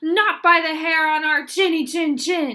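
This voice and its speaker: A woman puts on a character voice with an extremely high pitch. She delivers it at a fairly slow pace. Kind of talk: bedtime story. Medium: read story. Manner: defiant.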